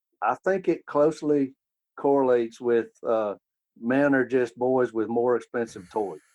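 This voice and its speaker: A man with an American accent and an unremarkable speaking voice talks at a fairly slow pace, medium pitch and ordinary pitch variation. His loudness stays very even, and the sound is dry and close with no echo. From Maryland near Washington DC, then Alabama from age 12. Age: 60s. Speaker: sports blogger. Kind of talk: casual interview. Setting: video call.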